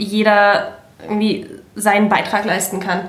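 Over music in the background, a woman with a medium-pitched voice speaks at a very slow pace. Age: 30s. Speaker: political volunteer and office manager. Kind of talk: casual chat.

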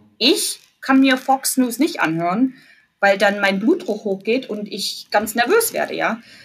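A woman speaks with a fairly high, somewhat breathy voice and lively intonation. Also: fairly slow pace. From East Germany (Jena, Thuringia). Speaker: university employee abroad. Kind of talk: casual interview chat. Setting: remote call from her office.

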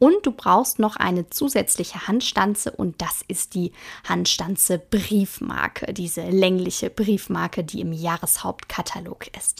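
A woman speaks with vocal fry. Her loudness swings widely. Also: medium pitch for a woman, ordinary pitch variation. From Ruhr area, Germany (Hagen). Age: 20s. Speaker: craft podcaster and product demonstrator. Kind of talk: casual tutorial-style monologue. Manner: chatty, informal, with fillers.

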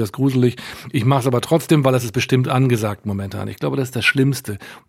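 Here is a man with a plain, everyday voice. His medium pitch keeps to fairly even intonation. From Westphalia, Germany (Münster). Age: 60s. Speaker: concert promoter and booking agency owner. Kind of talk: interview.

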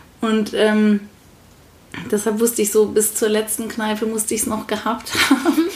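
Noticeable background noise sits under speech at a moderate pace with fairly even intonation. Long pauses come often. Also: woman, fairly high pitch for a woman. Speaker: parenting podcast co-host. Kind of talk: casual chat.

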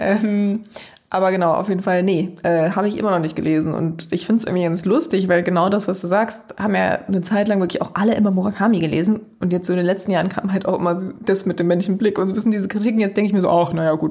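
A woman talks very fast with very even loudness and fairly even intonation, while noticeable background noise runs underneath. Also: medium pitch for a woman. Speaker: podcast co-host, university lecturer. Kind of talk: casual chat.

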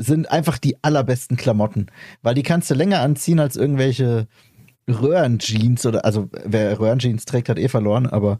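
A somewhat breathy, dark, mellow tone at a moderate pace, with very even loudness and ordinary pitch variation. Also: man, medium pitch for a man. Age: 30s. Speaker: podcast host. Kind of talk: casual chat.

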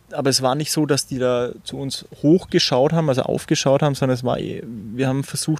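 Here is a man with a normal speaking voice. His pitch is medium and his intonation fairly even. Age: 30s. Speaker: recovered drug user and club chairman. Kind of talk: interview.

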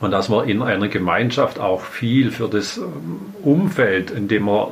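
A man's fairly low voice at a fairly slow pace, with audible room echo and noticeable background noise. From Swabian Alb, Baden-Württemberg, Germany. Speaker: mayor. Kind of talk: interview.

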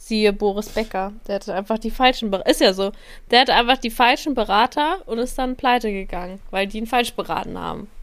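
A woman with a plain, everyday voice speaks at a fairly quick pace. Her pitch is fairly high, and the recording is very clean with a silent background. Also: ordinary pitch variation. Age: 20s. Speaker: podcast co-host, social media worker. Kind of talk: casual chat.

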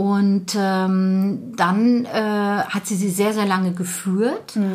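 A woman speaks at a medium pitch. Her intonation is monotone and flat, and her pace is very slow. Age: 50s. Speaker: bookshop owner. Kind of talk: casual interview.

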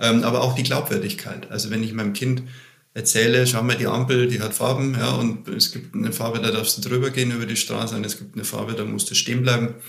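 Speech comes very fast with fairly even intonation. Noticeable background noise and audible room echo surround it. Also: man, medium pitch for a man. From Bavaria, Germany. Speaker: management consultant. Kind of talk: interview. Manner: halting, many fillers.

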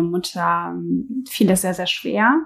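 This woman's voice sits at a medium pitch. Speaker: podcast co-host. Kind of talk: conversational discussion. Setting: home kitchen with open window.

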